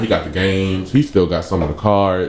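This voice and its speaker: The man has an unremarkable speaking voice, fairly low in pitch, moving at a fairly quick pace. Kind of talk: radio talk show discussion. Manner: conversational, casual.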